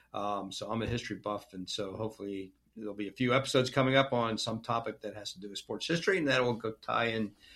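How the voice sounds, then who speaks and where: Speaking very fast, a man makes big swings in loudness. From Pittsburgh. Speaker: podcast host and sports writer. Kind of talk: casual interview.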